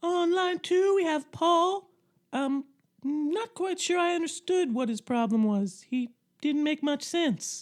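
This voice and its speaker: A squeaky, put-on character voice moves at a fairly slow pace with lively intonation. The background is quiet. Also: woman, high pitch for a woman. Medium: comedy sketch.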